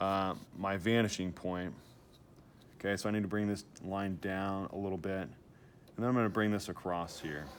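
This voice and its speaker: A man's fairly low pitch and moderate pace come through in a normal speaking voice. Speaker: art teacher. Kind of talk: tutorial.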